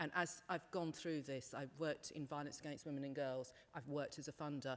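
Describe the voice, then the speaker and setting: A British-accented woman with a very deep, low pitch. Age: 50s. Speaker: panel speaker, women's sector worker. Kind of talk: panel discussion. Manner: loud.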